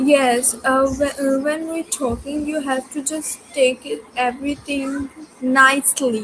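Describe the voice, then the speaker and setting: At a very slow pace, a woman speaks in a high pitch with flat, monotone intonation over noticeable background noise. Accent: non-native. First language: not English. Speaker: student. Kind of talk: casual chat. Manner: halting, many fillers.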